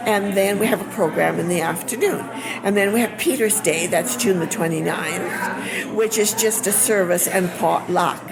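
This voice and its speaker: A woman's medium-pitched voice at a moderate pace, with ordinary pitch variation and very even loudness, plus noticeable background noise and audible room echo. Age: 70s. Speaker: museum volunteer. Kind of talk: interview. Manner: halting.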